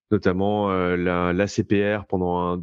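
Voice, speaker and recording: A man's very deep, low voice, monotone and flat, at a very slow pace. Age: 30s. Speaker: blockchain entrepreneur. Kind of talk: interview. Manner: halting, many fillers.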